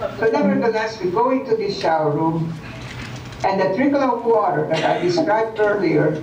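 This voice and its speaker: Over noticeable background noise and audible room echo, a woman talks at a moderate pace with a medium pitch and lively intonation. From Hungary. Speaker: Holocaust survivor. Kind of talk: testimony. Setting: video call. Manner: halting.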